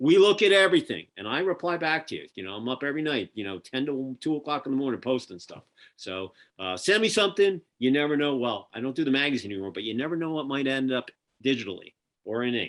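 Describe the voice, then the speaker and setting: Over a quiet background, a man with a Philadelphia accent races along at a very fast pace, his fairly high voice making very wide pitch swings and big swings in loudness. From Philadelphia, US. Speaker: podcast host and magazine publisher. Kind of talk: casual interview chat. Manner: animated.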